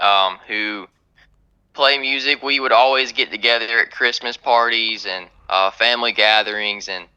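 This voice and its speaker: The man's voice has a bright, sharp tone at a medium pitch with ordinary pitch variation. The background is quiet. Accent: North Carolina. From US South, North Carolina. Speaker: country singer-songwriter. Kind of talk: radio interview. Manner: hesitant, many fillers.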